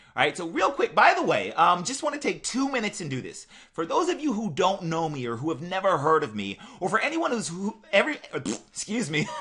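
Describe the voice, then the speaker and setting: A man's raised, projected voice, animated and high-pitched, with very wide pitch swings at a fairly quick pace. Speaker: online marketer. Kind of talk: sales pitch. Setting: webinar. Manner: fast.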